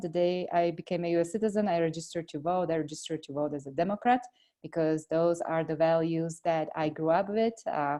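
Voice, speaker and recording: Speaking at a very fast pace with hardly any pauses, a woman with a Slovak accent has a fairly low pitch, ordinary pitch variation and a dark, mellow tone. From Slovakia. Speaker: congressional candidate. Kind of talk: interview. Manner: hesitant with many fillers.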